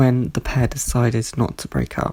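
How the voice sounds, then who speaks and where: A man speaks with a somewhat breathy voice. His tone is dark and mellow. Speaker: pop culture reviewer. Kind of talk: scripted review narration.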